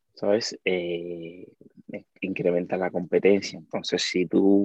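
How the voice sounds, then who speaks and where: Very deep and low, a man's voice carries this clip. His intonation stays fairly even. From Cuba. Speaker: dancer and content creator. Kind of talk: casual chat.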